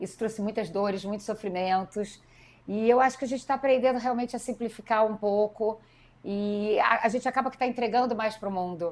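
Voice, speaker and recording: In an unremarkable speaking voice, a woman talks at a fairly quick pace with fairly high pitch and fairly even intonation. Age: 40s. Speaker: politician and educator. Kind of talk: interview conversation.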